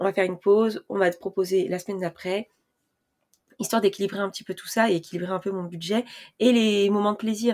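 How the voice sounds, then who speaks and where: The pace is fairly quick and the intonation fairly even. The recording is very clean with a silent background. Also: woman. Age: 20s. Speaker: personal finance podcaster. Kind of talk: casual monologue. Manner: hesitant, many fillers.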